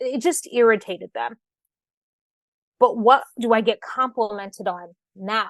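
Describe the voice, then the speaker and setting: Her fairly high voice carries an American accent and an animated tone with ordinary pitch variation. This woman leaves long, frequent pauses, and the sound is dry and close with no echo. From Michigan. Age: 30s. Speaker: radio host and author. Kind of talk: interview. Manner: fast.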